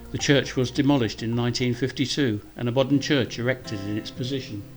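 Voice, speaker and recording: A man speaks very fast with a Kent accent and fairly even intonation. Music plays in the background. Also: medium pitch for a man. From Deal, Kent, England. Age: 70s. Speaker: local historian. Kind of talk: documentary narration.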